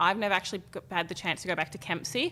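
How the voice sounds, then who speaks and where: A woman with an Australian accent and a bright, sharp tone speaks at a very fast pace with ordinary pitch variation on a very clean recording with a silent background. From Australia, Gold Coast / Tweed Heads. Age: 20s. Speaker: fashion model. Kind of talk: interview. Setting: office.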